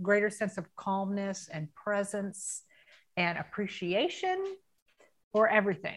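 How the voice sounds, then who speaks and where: Speaking fairly slowly with an American accent, a woman uses a medium pitch and long, frequent pauses. Her loudness swings widely. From US South, Tampa, Florida. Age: 50s. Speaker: coaching client. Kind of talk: testimony.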